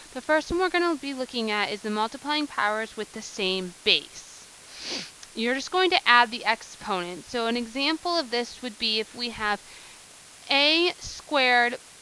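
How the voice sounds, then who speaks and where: At a moderate pace and with lively intonation, the speaker talks against noticeable background noise. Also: woman, high pitch for a woman. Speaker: math teacher. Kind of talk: classroom lesson explanation.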